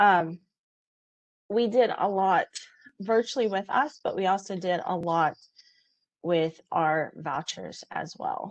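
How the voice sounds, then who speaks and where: A woman at a very slow pace, ordinary pitch variation, quiet background. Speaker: college testing center lead; presenter. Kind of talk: conference presentation. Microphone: video call.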